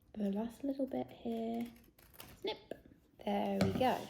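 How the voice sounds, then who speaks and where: A woman with a British accent, over noticeable background noise. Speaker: children's ministry presenter. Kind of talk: craft tutorial for kids. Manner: friendly, encouraging.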